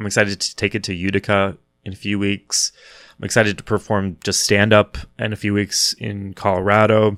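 With an American accent, a man with a fairly low pitch talks at a fairly quick pace in a flat, monotone way, in a very clean recording with a silent background. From Kansas, US. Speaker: comedian and podcast host. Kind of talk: casual solo monologue. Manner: halting, many fillers and repeated words.

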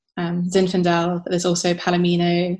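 At a moderate pace, the speech is captured on a very clean recording with a silent background. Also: woman. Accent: southern English. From southern England, south of London. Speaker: wine writer and winemaker. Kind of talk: casual interview chat.

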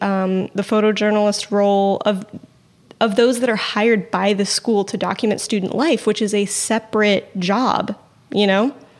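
A woman's ordinary speaking voice, medium in pitch, with fairly even intonation, a moderate pace and very even loudness. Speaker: podcast co-host. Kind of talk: casual chat about news.

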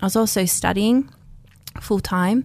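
The pace stays moderate. An Australian accent comes through. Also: woman. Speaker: former race walker. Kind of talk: radio interview. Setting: studio.

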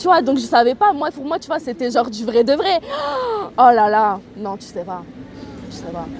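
Over noticeable background noise, a woman with a high pitch speaks at a moderate pace, her pitch swinging very widely and her loudness shifting a lot, with long, frequent pauses. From southern France, Toulon. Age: 20s. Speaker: interviewee. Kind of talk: personal storytelling interview. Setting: outdoors by a canal. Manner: spontaneous, hesitant with fillers.

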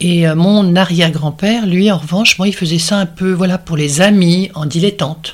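A woman speaks in a normal speaking voice, fairly low in pitch, at a moderate pace. Her intonation stays fairly even, and she hardly pauses. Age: 60s. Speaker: art and design historian. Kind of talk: interview. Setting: at her home.

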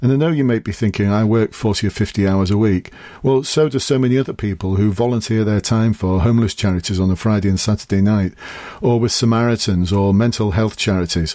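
A man with an English accent, fairly low-pitched with a dark, mellow tone, talking at a very fast pace with ordinary pitch variation and very even loudness. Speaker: podcast host, police recruitment coach and former police officer. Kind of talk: solo podcast tutorial. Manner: casual.

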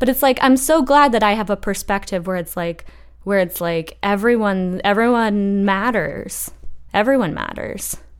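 A woman uses an ordinary speaking voice at a medium pitch, with ordinary pitch variation and a moderate pace. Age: 20s. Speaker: journalist. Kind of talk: casual chat.

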